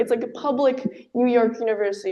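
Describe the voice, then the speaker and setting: Speaking at a fairly quick pace, a woman has a fairly high pitch, a dark, mellow tone and fairly even intonation. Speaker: university student speaker. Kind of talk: seminar presentation. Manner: loud.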